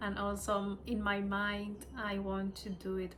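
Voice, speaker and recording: With a Spanish accent, a woman speaks at a medium pitch amid audible room echo. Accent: Spanish-speaker accent in English. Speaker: spiritual study video creator. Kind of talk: casual self-recorded study video. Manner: halting.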